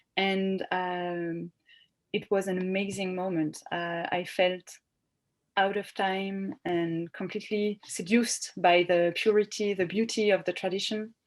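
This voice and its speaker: A woman with a French accent speaks at a fairly slow pace in a medium pitch, her intonation flat and monotone. The background is quiet. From France, Bordeaux. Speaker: novelist. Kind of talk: interview. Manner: halting.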